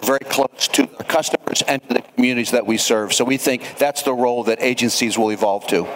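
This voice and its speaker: A man talks at a very fast pace with very even loudness and hardly any pauses. The sound is dry and close with no echo, though background noise is noticeable. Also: medium pitch for a man. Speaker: transit association CEO. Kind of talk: live panel discussion. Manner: energetic.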